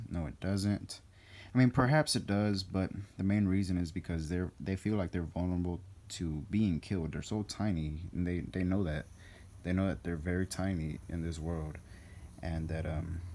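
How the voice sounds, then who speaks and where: Here a man speaks with a very deep, low pitch and a dark, mellow tone. His pace is moderate and his pitch variation ordinary. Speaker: animal hobbyist. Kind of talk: casual talk to camera. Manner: hesitant, many fillers.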